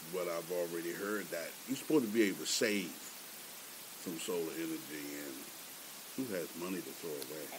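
A very deep, low-pitched man with an American accent, amid noticeable background noise. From Baltimore, Maryland. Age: 60s. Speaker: retired military veteran. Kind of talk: research interview.

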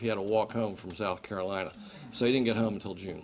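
Against light background noise, a man speaks in a monotone, flat intonation. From Maryland. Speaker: state government official. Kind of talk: public speech. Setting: stage with audience. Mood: warm, anecdotal. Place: hall. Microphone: podium.

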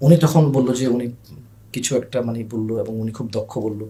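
A man speaks in a dark, mellow tone. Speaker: online food seller. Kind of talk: podcast interview storytelling. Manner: loud; animated.

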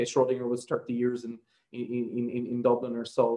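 A man's voice is heard. Nothing else can be heard behind it. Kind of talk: lecture. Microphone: video call.

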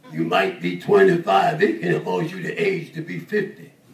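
There is light background noise and audible room echo around a man's voice. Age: 80s+. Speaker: preacher. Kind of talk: sermon. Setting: church service with congregation responses. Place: church.

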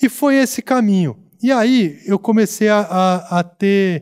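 A man's high-pitched voice, with ordinary pitch variation, comes through against a quiet background. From interior of São Paulo state, Brazil (Americana); São Paulo state, Brazil. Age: 40s. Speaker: former pro tennis player, sports commentator; sports commentator. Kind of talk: casual chat. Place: studio. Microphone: studio mic.

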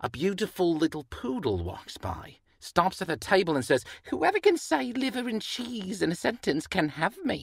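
A cartoonish character voice at a middle pitch. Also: moderate pace, very clean recording, silent background. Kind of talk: joke telling. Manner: eager, playful.

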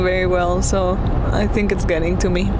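A woman at a moderate pace, dry sound with no echo, loud background noise around her. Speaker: vlogger. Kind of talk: casual vlog chat. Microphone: lapel.

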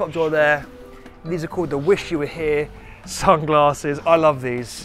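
A man talks over faint background music, and the sound is dry, without any echo. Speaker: channel host. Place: street.

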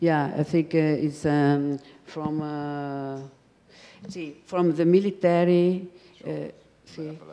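A woman's very deep, low voice with an Italian accent and a dark, mellow tone, fairly even in intonation, at a very slow pace with long, frequent pauses. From Italy. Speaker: designer's widow and collaborator; guest. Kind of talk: panel discussion. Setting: stage with audience. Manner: halting. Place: hall. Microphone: handheld.

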